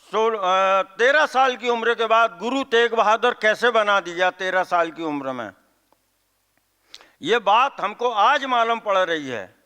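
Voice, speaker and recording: Raised and projected, a man's high voice has a bright, sharp tone and ordinary pitch variation, with a dry, close sound and no echo. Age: 70s. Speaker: event organizer giving welcome speech. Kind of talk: public speech. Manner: halting; stern.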